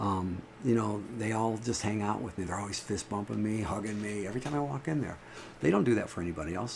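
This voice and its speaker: With audible room echo, a man with a fairly low pitch and ordinary pitch variation speaks at a very fast pace. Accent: American. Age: 60s. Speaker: livestreamer. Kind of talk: casual livestream monologue. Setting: live stream from home. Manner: halting, repetitive.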